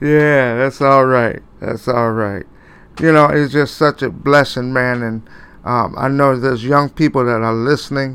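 An unremarkable speaking voice carries an American accent. It moves at a fairly slow pace with fairly even intonation. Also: man, medium pitch for a man. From Cleveland, Ohio. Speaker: pastor and radio host. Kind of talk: casual interview.

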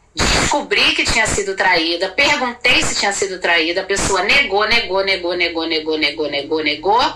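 A woman speaks at a medium pitch with lively intonation. Noticeable background noise runs behind her. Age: 40s. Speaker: actress. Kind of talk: casual chat.

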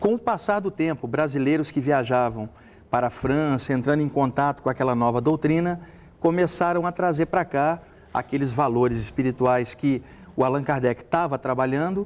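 A plain, everyday voice at a moderate pace, with ordinary pitch variation and very even loudness. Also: man, fairly high pitch for a man. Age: 40s. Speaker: medium and spiritual author. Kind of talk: TV talk show interview.

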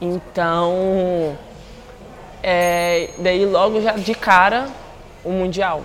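Noticeable background noise and audible room echo around a woman's medium-pitched voice, a very slow pace with long, frequent pauses, and fairly even intonation. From Brazil, Espírito Santo (Guarapari). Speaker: jiu-jitsu athlete. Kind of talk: casual interview.

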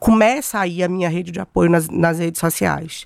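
With a plain, everyday voice, a woman speaks at a moderate pace in a dry, close sound with no echo. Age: 40s. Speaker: event producer and influencer. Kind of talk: podcast interview.

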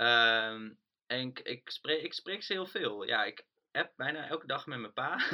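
A man's bright, sharp tone at medium pitch and a fairly slow pace. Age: 20s. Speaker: band lead singer. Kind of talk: casual interview. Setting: remote call.

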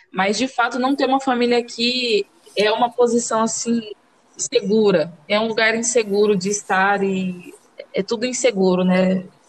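Speaking in a fairly high pitch with ordinary pitch variation, a woman keeps a moderate pace. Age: 20s. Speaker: university student and mother. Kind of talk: podcast interview. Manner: halting.

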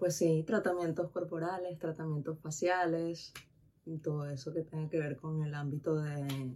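The tone is dark and mellow. Delivery is fairly slow, with monotone, flat intonation. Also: woman, very deep, low pitch for a woman. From Venezuela. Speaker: massage therapist. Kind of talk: casual chat.

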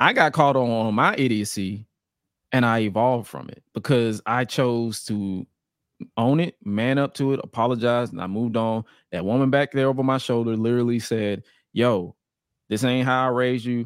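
A man with an ordinary speaking voice talks at a medium pitch and a moderate pace with fairly even intonation. The recording is very clean and dry, with a close sound, no echo and a silent background. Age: 20s. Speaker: content creator. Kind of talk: casual chat.

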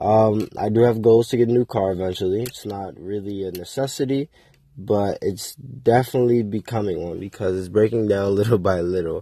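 A man with an American accent, fairly low pitch, a dark, mellow tone, a somewhat breathy quality and ordinary pitch variation. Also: fairly quick pace. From Waterbury, Connecticut. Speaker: aspiring entrepreneur podcaster. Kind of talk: casual monologue. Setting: in a car. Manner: halting, many fillers.

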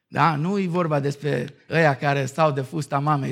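Over a very clean recording with a silent background, a man with an unremarkable speaking voice talks at a moderate pace, his fairly high pitch held in fairly even intonation. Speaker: pastor. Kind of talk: sermon. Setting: church.

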